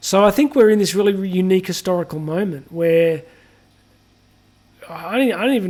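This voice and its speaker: Speaking at a moderate pace, a man with a high-pitched voice talks with an Australian accent. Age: 40s. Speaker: podcast host. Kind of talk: solo podcast commentary. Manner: casual, with many fillers and restarts.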